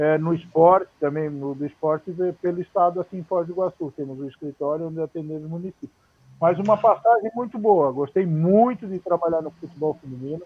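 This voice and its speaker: At a fairly quick pace, a man with a high pitch speaks with big swings in loudness. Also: ordinary pitch variation. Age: 60s. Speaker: former footballer and coach. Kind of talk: interview on a live stream. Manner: halting, many repetitions.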